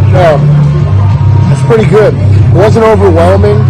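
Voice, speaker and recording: A man talks at a fairly quick pace. Loud music plays behind him, and the sound is dry with no echo. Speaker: food vlogger. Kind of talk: casual vlog chat. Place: cafe. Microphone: phone near.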